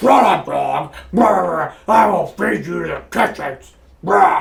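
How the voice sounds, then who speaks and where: A man's gruff put-on character voice at a fairly slow pace. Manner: menacing.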